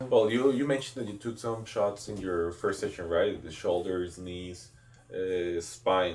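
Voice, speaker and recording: With a Spanish accent, a man speaks fairly slowly in a fairly low voice with ordinary pitch variation. His loudness swings widely, and room echo is audible. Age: 20s. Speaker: clinic CEO. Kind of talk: interview.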